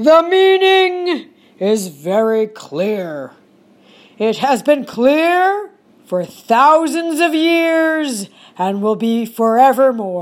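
A woman puts on a character voice, high-pitched and very slow, with very wide pitch swings. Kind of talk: mock-solemn folktale decree. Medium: read story. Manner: solemn, matter-of-fact, pronouncing.

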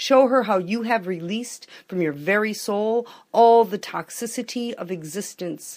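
The recording is very clean, with a silent background. A woman speaks in a plain, everyday voice at a medium pitch with ordinary pitch variation. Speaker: poet. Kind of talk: poetic spoken word, reading aloud.

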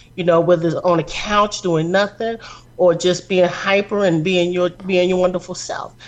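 Moderate pace over noticeable background noise. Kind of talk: casual chat. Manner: animated.

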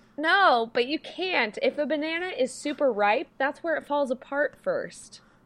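A woman talks with hardly any pauses and lively intonation. Her pitch is high. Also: fairly slow pace. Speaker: podcast co-host recapping a reality TV show. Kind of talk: casual chat. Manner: animated.

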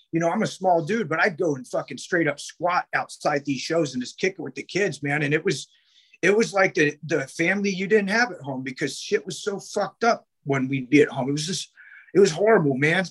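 A man's high voice with a West Coast American accent, ordinary pitch variation, and a dry, close sound with no echo. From Sacramento, California. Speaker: punk record label owner. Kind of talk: casual interview.

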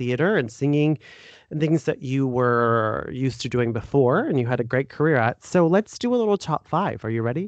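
A man with an ordinary speaking voice and an American accent speaks at a moderate pace, the sound dry and close with no echo against a quiet background. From United States. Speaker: podcast host. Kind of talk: casual interview. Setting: remote call.

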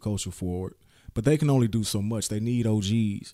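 Recorded very cleanly against a silent background, a man speaks with a dark, mellow tone. His pitch is fairly low with ordinary pitch variation, and his pace is moderate. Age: 30s. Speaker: hip-hop podcast co-host. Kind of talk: casual chat.

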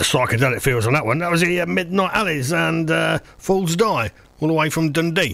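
Here is a man with a plain, everyday voice. He talks at a fairly quick pace and a fairly high pitch. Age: 60s. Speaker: community radio host. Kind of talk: casual radio presenting and interview.

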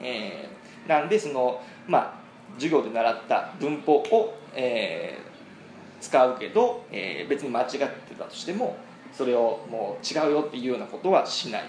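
Speech in a Japanese accent comes at a fairly quick pace, with very wide pitch swings and big swings in loudness. Noticeable background noise runs underneath. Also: man, fairly high pitch for a man. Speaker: podcast host, English learner. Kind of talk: bilingual conversation lesson. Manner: halting, many fillers.

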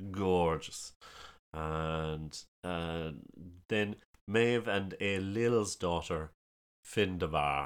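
With a strong Kerry accent, a man with a very deep, low pitch speaks at a very slow pace, leaving long, frequent pauses. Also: ordinary pitch variation. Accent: strong Kerry Irish. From Ireland, County Kerry. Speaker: storyteller. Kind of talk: casual chat about folklore.

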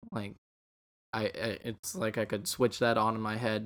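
Speaking at a moderate pace, a man with an unremarkable speaking voice keeps a fairly even intonation. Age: young. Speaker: film podcast guest. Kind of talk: casual chat.

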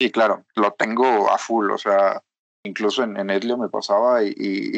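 A man speaks with a Mexican accent. The sound is dry and close, with no echo. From Mexico. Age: 20s. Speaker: software developer. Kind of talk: interview. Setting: remote call.

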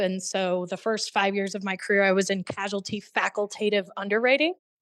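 With an American accent, a woman talks at a moderate pace in an unremarkable speaking voice, her medium pitch and fairly even intonation set against a quiet background. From small-town Illinois. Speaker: insurance executive. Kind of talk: casual interview.

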